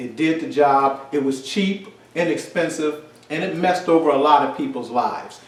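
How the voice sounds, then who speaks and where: Noticeable background noise and audible room echo surround speech that moves at a moderate pace. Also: man. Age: 60s. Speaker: commentator. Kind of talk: casual chat. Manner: animated.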